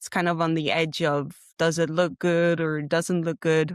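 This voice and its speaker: A woman with a Dutch accent speaks very slowly in a flat monotone at a fairly low pitch. The recording is very clean, with a silent background and a dry, close sound with no echo. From Netherlands. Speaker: graphic design graduate. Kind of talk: interview.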